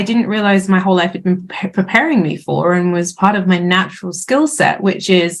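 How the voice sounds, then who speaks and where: At a moderate pace, a woman talks in a British accent. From UK. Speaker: chief operating officer. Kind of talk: casual podcast interview.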